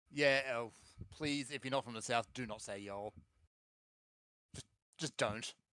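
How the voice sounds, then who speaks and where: With an Australian accent, a man speaks at medium pitch and a moderate pace, his bright, sharp tone and fairly even intonation broken by long, frequent pauses in a dry, close sound with no echo. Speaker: gaming podcast co-host. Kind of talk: casual chat.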